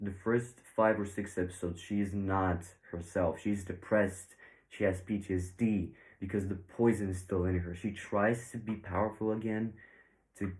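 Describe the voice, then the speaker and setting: On a very clean recording with a silent background, a man with a fairly low pitch speaks at a moderate pace in a somewhat breathy, monotone voice with flat intonation. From Bulgaria. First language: Bulgarian. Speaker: YouTube reviewer. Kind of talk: video review commentary. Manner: casual, hesitant with fillers.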